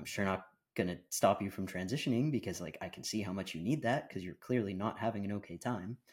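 Someone with a Canadian accent talks at a very fast pace with ordinary pitch variation in a very clean recording with a silent background. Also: man, fairly low pitch for a man. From Canada and the Bahamas. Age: 30s. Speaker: content creator. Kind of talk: casual chat. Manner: articulate.

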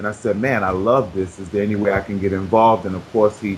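With an American accent, a man talks at a fairly quick pace in a fairly low pitch over noticeable background noise. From Brooklyn, New York. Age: 30s. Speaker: weight-loss success story, author. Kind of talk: interview. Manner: animated.

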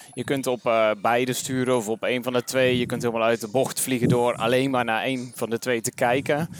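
Delivered in a monotone, flat intonation, the speech moves at a fairly quick pace with hardly any pauses. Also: man, medium pitch for a man. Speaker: podcast host, interviewer. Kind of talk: casual interview. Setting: walking outdoors in a park.

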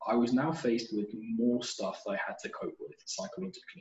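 Speaking with a British accent, a man keeps a fairly quick pace. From United Kingdom. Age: 20s. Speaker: postgraduate student. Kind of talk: interview.

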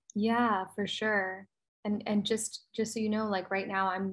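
Speaking at a moderate pace, a woman with an American accent holds a medium pitch. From US, New Jersey. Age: 30s. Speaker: branding business owner. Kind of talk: casual interview.

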